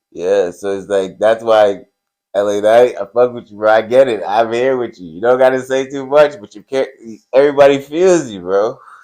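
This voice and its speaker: With big swings in loudness, a man of medium pitch speaks in an unremarkable speaking voice at a moderate pace with ordinary pitch variation. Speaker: wrestling podcast co-host. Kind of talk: casual chat.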